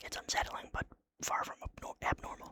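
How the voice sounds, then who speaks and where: Someone whispers at a fairly quick pace. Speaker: ASMR channel host reading a horror story. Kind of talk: horror story narration, read in first person. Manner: whispered, casual, jokey between story parts.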